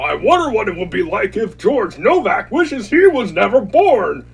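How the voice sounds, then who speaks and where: In a cartoonish character voice with an extremely high pitch, a man speaks at a moderate pace. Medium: puppet show. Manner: sarcastic, cackling.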